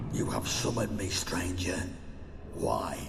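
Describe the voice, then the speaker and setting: A man puts on a character voice at a fairly slow pace while loud background noise plays. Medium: machinima. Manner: haughty, menacing.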